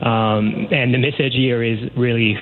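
A man with a Quebec accent, noticeable background noise. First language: French. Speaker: academic researcher. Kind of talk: radio phone interview. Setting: phone call.

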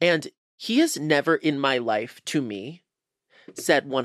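An animated man with a fairly high pitch and an American accent, speaking at a fairly slow pace in a dry, close sound with no echo. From US West Coast, Los Angeles. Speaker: comedian and actor. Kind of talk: casual chat.

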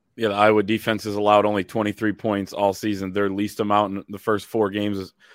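Over a very clean, silent background with a dry, close sound and no echo, a man talks at a fairly quick pace with a fairly low pitch and monotone, flat intonation. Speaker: sports podcast host. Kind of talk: sports preview podcast chat. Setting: studio, also on video.

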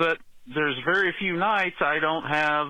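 Lively in intonation, a man with a normal speaking voice and a fairly high pitch speaks at a fairly slow pace. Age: 60s. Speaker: caller. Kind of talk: call-in question.

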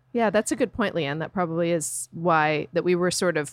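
Using a plain, everyday voice, a woman speaks at a fairly low pitch with ordinary pitch variation, the recording very clean with a silent background and a dry, close sound with no echo. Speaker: book club member. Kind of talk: casual chat.

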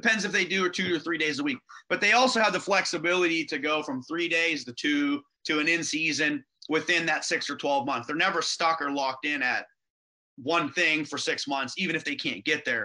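A man with an American accent, fairly high pitch, a bright, sharp tone, ordinary pitch variation and a fairly quick pace. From western Pennsylvania, near Pittsburgh. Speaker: gym owner. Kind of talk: interview.

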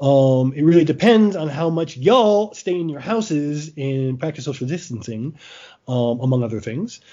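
Here is a man with a plain, everyday voice and a fairly high pitch. He moves at a moderate pace with lively intonation. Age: 40s. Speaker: podcast host and sports writer. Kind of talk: casual chat.

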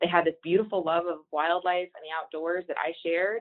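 A woman with an American accent and a fairly low pitch, an unremarkable speaking voice, fairly even intonation. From Texas. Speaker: hunting organization director. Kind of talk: podcast interview.

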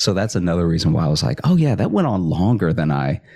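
A man's very deep, low voice with vocal fry and an American accent, at a very fast pace. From Louisiana, US South. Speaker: stand-up comic and late night writer. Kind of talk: casual interview.

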